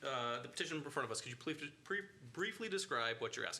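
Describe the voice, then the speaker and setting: A man with lively intonation at a fairly quick pace, amid noticeable background noise. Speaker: board chair. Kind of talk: public meeting. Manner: fast.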